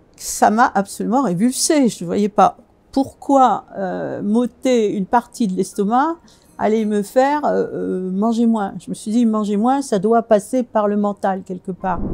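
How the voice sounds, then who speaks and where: Very slowly, a woman speaks in a fairly high pitch with a dark, mellow tone and ordinary pitch variation. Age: 70s. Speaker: fasting retreat participant. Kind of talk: testimony. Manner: halting, frequent hesitations.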